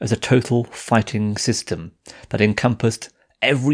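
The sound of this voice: An unforced reading voice with fairly even intonation, set against a quiet background.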